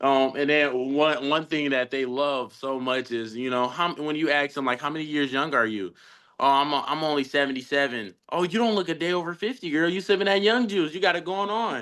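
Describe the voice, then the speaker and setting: Fairly quick and animated, a man with an American accent talks at a fairly high pitch in a bright, sharp tone with lively intonation against a quiet background. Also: hardly any pauses. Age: young. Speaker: insurance agent. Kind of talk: role-play sales pitch demo; team meeting.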